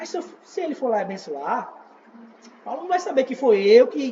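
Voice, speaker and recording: His pitch rises and falls very widely. The speaker is a man. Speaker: evangelist teaching a church class. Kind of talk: church teaching class.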